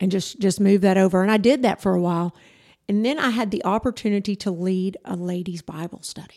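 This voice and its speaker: A woman with a Texan accent speaks at a fairly quick pace with a medium pitch, a dark, mellow tone and ordinary pitch variation, in a very clean recording with a silent background. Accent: Texan Southern US. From Texas (rural, North Zulch area). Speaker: church youth director. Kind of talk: testimony. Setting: studio.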